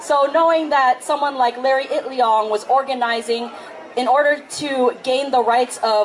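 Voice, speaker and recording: Against noticeable background noise, a woman talks at a high pitch and a moderate pace with ordinary pitch variation. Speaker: spoken word poet. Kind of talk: spoken introduction to a live audience.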